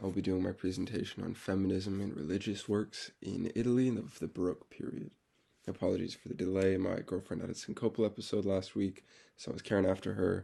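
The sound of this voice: A man talks at a fairly quick pace in a low pitch with little pitch movement. His dark, mellow voice is raspy, with vocal fry and a slightly husky edge.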